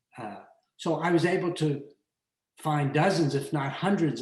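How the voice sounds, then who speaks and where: A man with a fairly high, somewhat breathy voice speaks at a fairly slow pace with ordinary pitch variation in a room with audible echo. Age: 80s+. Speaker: photographer and book collector. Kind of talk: online lecture conversation.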